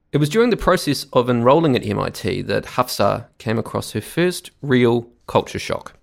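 A man talks with a New Zealand accent. He barely pauses. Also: moderate pace. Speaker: podcast host. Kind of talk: scripted narration.

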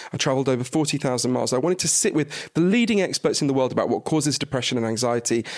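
Talking at a very fast pace, a man uses a British accent. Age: 40s. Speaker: author. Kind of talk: casual chat. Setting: in person in London.

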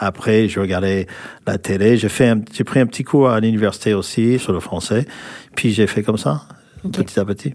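With an American accent, a man speaks at a fairly low pitch and ordinary pitch variation. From California, US. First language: English (speaking French). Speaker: former rugby player. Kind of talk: interview. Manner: halting.

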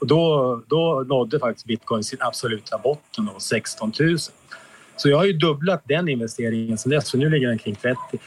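Noticeable background noise sits behind this man. His pitch is fairly high and his intonation lively. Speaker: exonerated former prisoner. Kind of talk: interview. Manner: halting.

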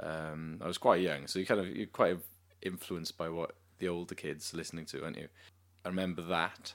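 A man speaks with a Welsh accent. His voice is very deep and low, with fairly even intonation. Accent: Welsh (Cardiff) English. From Cardiff, Wales. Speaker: musician, singer-songwriter with a band. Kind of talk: casual interview. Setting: interviewer's flat.

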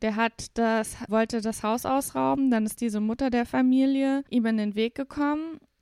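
Heard in a very clean recording with a silent background and a dry, close sound with no echo, a woman in a normal speaking voice talks at a moderate pace with a fairly high pitch and ordinary pitch variation. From Saarland, Germany. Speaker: podcast host. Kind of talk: casual chat.

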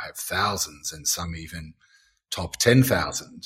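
In an Australian accent, a man talks at a fairly slow pace with ordinary pitch variation, recorded very cleanly against a silent background. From Australia, Gold Coast. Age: 50s. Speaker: beekeeper. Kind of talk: interview.

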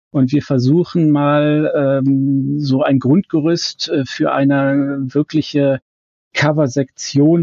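A man's fairly high voice at a very slow pace. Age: 50s. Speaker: fan website founder. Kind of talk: casual chat.

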